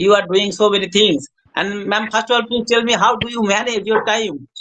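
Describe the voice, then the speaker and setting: A speaker talks at a fairly quick pace with fairly even intonation. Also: man. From India, West Bengal. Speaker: hospital attendant, English learner. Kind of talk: casual chat.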